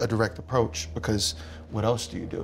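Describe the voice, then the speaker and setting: With an American accent, a man talks at a fairly quick pace in a fairly low pitch with vocal fry. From Philadelphia, US. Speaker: content creator and producer. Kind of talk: panel roundtable discussion.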